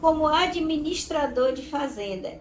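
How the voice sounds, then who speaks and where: High pitch from a woman amid audible room echo. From Brazil, southern Bahia. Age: 70s. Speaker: retired teacher. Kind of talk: interview testimony.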